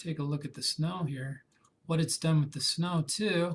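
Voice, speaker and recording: With ordinary pitch variation and a moderate pace, this is an ordinary speaking voice. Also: man. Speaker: photography instructor. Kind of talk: tutorial. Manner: casual.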